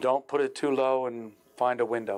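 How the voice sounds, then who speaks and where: A man talks at a moderate pace and medium pitch. His is a plain, everyday voice with fairly even intonation. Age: 60s. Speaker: amateur astronomer giving a beginner talk. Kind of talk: public talk. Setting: stage with live audience, streamed online. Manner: casual, conversational.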